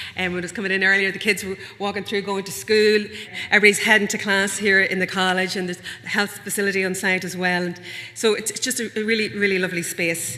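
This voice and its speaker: A woman of medium pitch with a Northern Irish accent speaks at a fairly quick pace and fairly even intonation over noticeable background noise. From Northern Ireland. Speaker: event host. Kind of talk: event welcome speech. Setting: venue with live and online audience.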